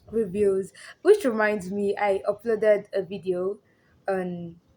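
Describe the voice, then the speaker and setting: In a very clean recording with a silent background, the words come fairly slowly. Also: woman. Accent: Nigerian. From Nigeria (Yoruba). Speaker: social commentary YouTuber. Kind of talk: casual commentary monologue.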